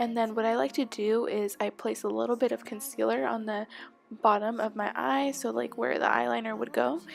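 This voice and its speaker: With music in the background, a woman talks at a fairly quick pace. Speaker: beauty vlogger. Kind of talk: makeup tutorial voice-over. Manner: soft, near whisper.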